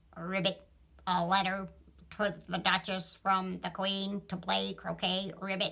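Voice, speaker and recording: In a put-on character voice, a female-sounding voice at medium pitch for a woman moves at a fairly slow pace. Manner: ribbiting, comedic.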